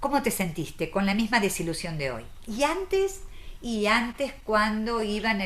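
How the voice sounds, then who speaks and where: A woman speaks at a moderate pace with a fairly high pitch and ordinary pitch variation. She has a normal speaking voice. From Argentina. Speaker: psychoanalyst and author. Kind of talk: interview.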